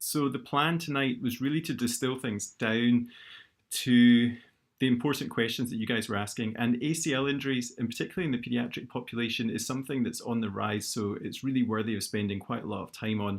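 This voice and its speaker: With a Scottish accent, a man talks at a medium pitch with fairly even intonation on a very clean recording with a silent background. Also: fairly quick pace. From Scotland, Glasgow. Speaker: orthopaedic knee surgeon. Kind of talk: lecture. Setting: live YouTube stream.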